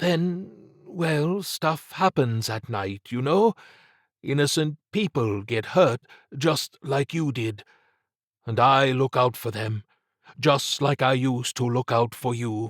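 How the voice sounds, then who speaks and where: A man puts on a character voice at a medium pitch, with lively intonation and a fairly slow pace. The sound is dry and close with no echo, on a very clean recording with a silent background. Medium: read story. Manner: earnest, plain-spoken.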